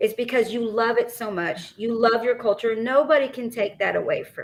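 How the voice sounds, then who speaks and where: Using a Texas accent, a woman speaks at a moderate pace with a fairly high pitch. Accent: Texas twang. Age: 40s. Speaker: podcast co-host. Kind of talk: casual chat.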